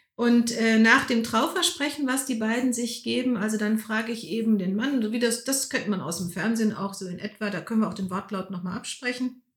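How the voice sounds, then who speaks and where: A woman speaks fairly quickly with hardly any pauses, in a normal speaking voice. Her pitch is fairly high, with ordinary pitch variation. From Lower Rhine region, Germany. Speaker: Protestant pastor. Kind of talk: interview.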